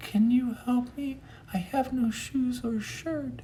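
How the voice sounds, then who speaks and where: A man does a put-on character voice at an extremely high pitch, with ordinary pitch variation. He goes at a fairly slow pace over clear background noise. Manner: pleading.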